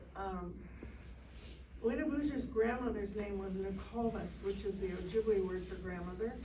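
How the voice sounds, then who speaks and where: A woman's voice over noticeable background noise. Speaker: Ojibwe elder and storyteller. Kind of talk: traditional oral storytelling to a live audience. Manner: casual, conversational.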